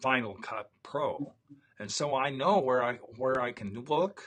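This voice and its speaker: A man speaks very slowly in a bright, sharp tone. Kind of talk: casual chat. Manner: halting.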